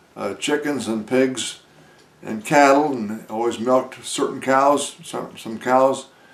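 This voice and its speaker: Over noticeable background noise, a man with an American accent talks at a very slow pace with fairly even intonation. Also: medium pitch for a man. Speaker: war veteran. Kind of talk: interview. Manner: halting, many filler words.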